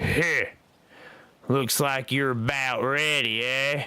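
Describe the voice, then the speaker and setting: A man's put-on character voice, gruff and growling, at medium pitch, very slow, with monotone, flat intonation. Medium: read story. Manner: gruff, blunt.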